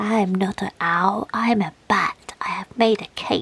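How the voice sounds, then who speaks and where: A female-sounding put-on character voice, medium in pitch, at a fairly slow pace. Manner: playful, unexpected voice.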